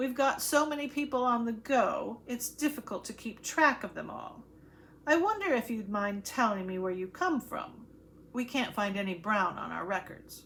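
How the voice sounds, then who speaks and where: Putting on a character voice, a woman speaks high-pitched at a moderate pace with lively intonation over clear background noise. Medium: read story. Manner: stiff, formal.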